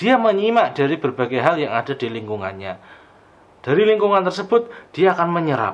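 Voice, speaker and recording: Here a man speaks at a fairly quick pace. His pitch swings very widely. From Banjarnegara, Central Java, Indonesia. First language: Javanese (Banyumasan dialect) (speaking Indonesian). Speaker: lecturer. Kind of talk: lecture.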